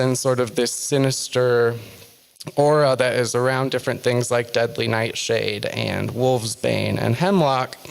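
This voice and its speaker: A soft-spoken man talks at a fairly slow pace. His pitch is medium, and his intonation is fairly even. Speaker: author and witch giving a talk. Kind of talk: lecture. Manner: halting, many fillers.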